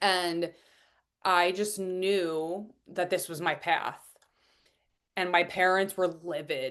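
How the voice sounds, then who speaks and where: A woman with a Long Island accent and a fairly low pitch, against a quiet background. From US Northeast, Long Island, New York. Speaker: business and transformational coach. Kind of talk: podcast interview, personal story.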